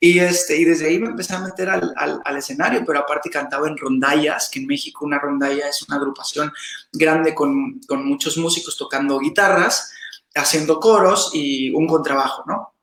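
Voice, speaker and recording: Ordinary pitch variation and a moderate pace from a man with a fairly high voice. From Mexico, Veracruz. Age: 30s. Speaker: salsa dancer and teacher. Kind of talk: interview. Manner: animated.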